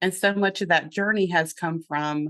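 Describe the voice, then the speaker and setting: A woman speaks at a fairly slow pace with a slight Southern US accent. Her pitch varies in an ordinary way over a quiet background. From US South, North Carolina. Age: 50s. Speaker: business coach and therapist. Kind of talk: podcast interview.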